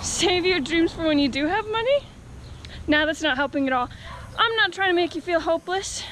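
A woman with an extremely high pitch and lively intonation speaks at a moderate pace, with music in the background and a dry sound with no echo. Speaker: vlogger. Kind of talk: casual vlog chat. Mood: playful, self-mocking. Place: street. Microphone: phone near.

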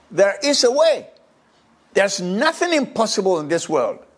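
This man's tone is animated. His pitch swings very widely. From Ghana. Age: 80s+. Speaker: social commentator. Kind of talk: monologue. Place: home room. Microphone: lapel.

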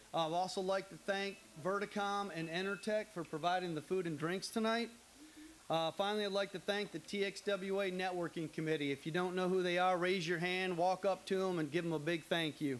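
Light background noise sits behind the recording. A man speaks at a high pitch and a moderate pace. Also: fairly even intonation. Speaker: association host. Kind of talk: welcome speech. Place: studio. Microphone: handheld.

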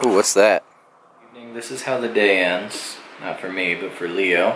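At a moderate pace, a man with a fairly low pitch and ordinary pitch variation speaks with big swings in loudness, audible room echo and light background noise. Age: 20s. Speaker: dad vlogger. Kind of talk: casual vlog talk to camera. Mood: relaxed, playful.

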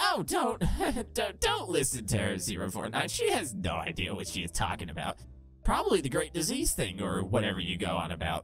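Clear music plays in the background as a man does a put-on character voice at a moderate pace. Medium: solo performance. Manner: sarcastic, crude, defensive.

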